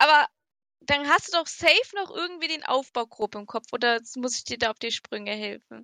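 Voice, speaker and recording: A woman's raised, projected voice, high-pitched with a bright, sharp tone and lively intonation, at a moderate pace, in a dry, close sound with no echo. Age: 20s. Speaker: podcast co-host. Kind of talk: casual chat.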